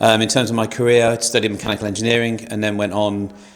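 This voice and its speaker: Over noticeable background noise, a man speaks at a fairly low pitch with monotone, flat intonation. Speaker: engineer and competition judge. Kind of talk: casual panel introduction.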